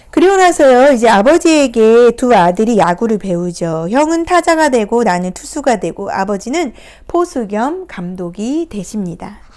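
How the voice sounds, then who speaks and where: A woman speaks at a moderate pace with hardly any pauses. Her fairly high voice swings very widely in pitch. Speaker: picture book therapy counselor. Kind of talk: picture book talk to camera. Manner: hesitant fillers, conversational.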